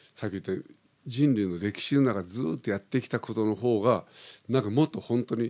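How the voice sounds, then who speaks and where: This dark, mellow voice moves at a fairly quick pace with ordinary pitch variation. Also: man, medium pitch for a man. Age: 70s. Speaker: opera artistic director. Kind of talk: interview. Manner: casual, meandering with fillers.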